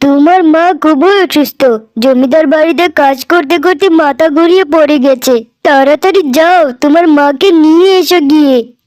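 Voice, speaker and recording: In a cartoonish character voice, a woman talks at a high pitch and a fairly slow pace. Her intonation is fairly even and her loudness very even. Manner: matter-of-fact.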